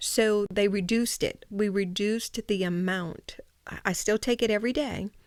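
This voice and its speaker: In a medium pitch and at a moderate pace, a woman speaks with fairly even intonation. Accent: Louisiana. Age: 60s. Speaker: breast cancer patient, host's mother. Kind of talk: podcast interview. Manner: explanatory, hesitant with fillers.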